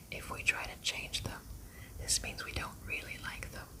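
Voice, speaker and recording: Whispering at a moderate pace in a soothing tone, a woman is heard over noticeable background noise. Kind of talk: ASMR book reading. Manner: whispered; soft-spoken, soothing.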